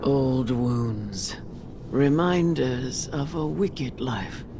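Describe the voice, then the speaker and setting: Over loud background noise, a put-on character voice speaks at a very slow pace with a low-to-middle pitch. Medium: video game. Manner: slow, solemn.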